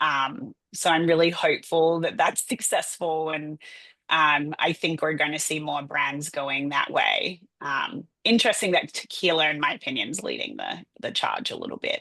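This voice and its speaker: A woman with an Australian accent speaks at a fairly low pitch in a bright, sharp tone, her intonation lively. She keeps a moderate pace with hardly any pauses over a quiet background. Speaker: public relations agency owner. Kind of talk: podcast interview. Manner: animated.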